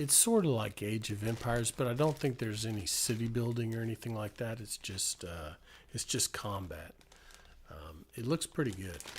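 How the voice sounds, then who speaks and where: At a moderate pace, a man talks in a somewhat breathy voice. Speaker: ASMR streamer. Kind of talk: live stream chat. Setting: live stream with chat. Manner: soft-spoken, relaxing; halting, many fillers.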